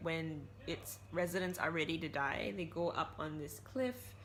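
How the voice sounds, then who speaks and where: Vocal fry from a woman with a fairly low pitch at a fairly slow pace, with audible room echo. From Malaysia. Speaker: book vlogger. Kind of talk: casual vlog talk.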